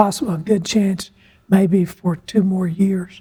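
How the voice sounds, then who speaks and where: The speaker has a Southern US accent. The pace is very slow. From US South, North Carolina and coastal South Carolina. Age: 80s+. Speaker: retired air force colonel, redevelopment director. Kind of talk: interview. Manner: halting.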